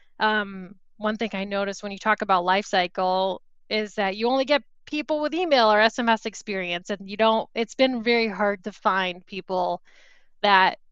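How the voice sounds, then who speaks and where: A woman with an American accent speaks at a fairly high pitch, in a bright, sharp tone. Her pitch varies in an ordinary way, over a quiet background. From New York. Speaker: marketing speaker. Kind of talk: conference talk.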